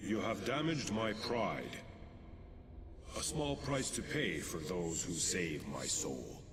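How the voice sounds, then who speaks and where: Over loud background noise, a man does a put-on character voice, fairly low in pitch and fairly slow, with long, frequent pauses. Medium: video game. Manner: archaic, formal and commanding.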